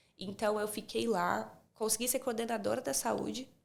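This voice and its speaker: A woman with a slight Minas Gerais accent talks at a moderate pace. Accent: slight Minas Gerais Brazilian Portuguese. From Brazil, Espírito Santo. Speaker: speech therapist. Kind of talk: casual interview chat.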